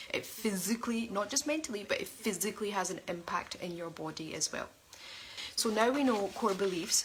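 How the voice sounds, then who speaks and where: A woman's animated, medium-pitched voice at a fairly quick pace, with ordinary pitch variation and noticeable background noise. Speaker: life coach. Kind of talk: online coaching talk. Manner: fast.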